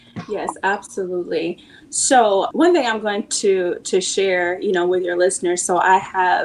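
This is a woman with a normal speaking voice at medium pitch. Her pace is fairly slow, and her pitch variation is ordinary. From US Pacific Northwest (Seattle, Washington). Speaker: channel partner manager and nonprofit founder. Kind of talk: casual interview chat.

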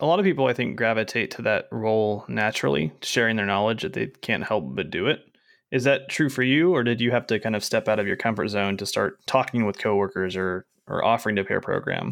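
A man with a fairly low pitch speaks in an ordinary speaking voice at a fairly quick pace, his intonation lively against a quiet background. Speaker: podcast host. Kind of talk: casual interview chat.

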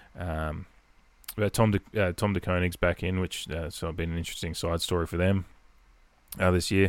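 A man with an Adelaide accent, very deep and low in pitch, monotone and flat, fairly quick in pace with long, frequent pauses, in a very clean recording with a silent background. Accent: Australian, Adelaide. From Adelaide, South Australia. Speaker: podcast host and Port Adelaide fan. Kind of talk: casual solo podcast chat. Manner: rambling, conversational, filler-heavy.

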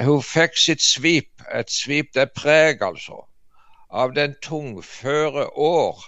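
With a fairly high pitch, a man delivers his words at a very slow pace. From Jæren, Rogaland, Norway. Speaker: artist and preacher. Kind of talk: casual chat.

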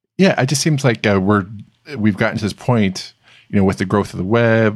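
Fairly low in pitch, a man speaks with ordinary pitch variation. His is an unremarkable speaking voice. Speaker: podcast host. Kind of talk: casual interview.

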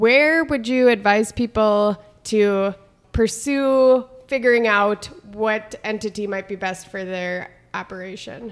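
Hers is an ordinary speaking voice, a woman with an American accent. She keeps a medium pitch and fairly even intonation. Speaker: extension educator and podcast co-host. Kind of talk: casual chat.

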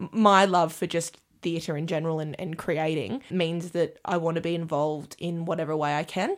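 The recording is very clean, with a silent background. A woman with a fairly low pitch speaks at a fairly quick pace with fairly even intonation. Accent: Australian. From Australia, Armidale NSW. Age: 20s. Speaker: stage manager. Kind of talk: casual chat.

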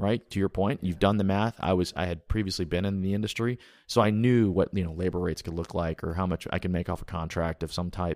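A man with an American accent and a very deep, low pitch talks very fast with hardly any pauses and fairly even intonation, recorded very cleanly over a silent background. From US South, Huntsville, Alabama. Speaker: company founder and CEO. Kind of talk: interview conversation.

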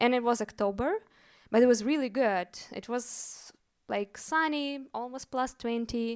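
A woman with a Russian accent speaks at a high pitch and a fairly slow pace. The recording is very clean, with a silent background. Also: ordinary pitch variation. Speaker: storyteller. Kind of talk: live storytelling. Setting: stage with audience.

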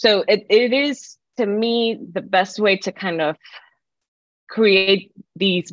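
Very slowly, a woman talks, her pitch shifting in an ordinary way. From Puerto Rico. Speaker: professor. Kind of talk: interview.

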